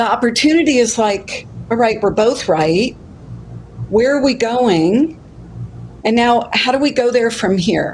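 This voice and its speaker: Her tone is animated, her pitch fairly high with ordinary variation, and her loudness very even. This woman speaks fairly slowly, with long, frequent pauses. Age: 60s. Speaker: life coach. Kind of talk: casual chat.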